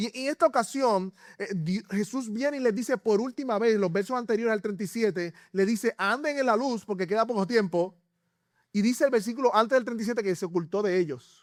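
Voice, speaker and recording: At a fairly quick pace, a man speaks at a high pitch with ordinary pitch variation. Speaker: pastor. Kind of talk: sermon. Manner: halting.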